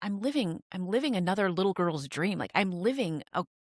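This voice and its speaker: A woman speaks at a fairly quick pace with lively intonation and medium pitch in an unremarkable speaking voice, on a very clean recording with a silent background and a dry, close sound with no echo. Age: 40s. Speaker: podcast host. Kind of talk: casual interview.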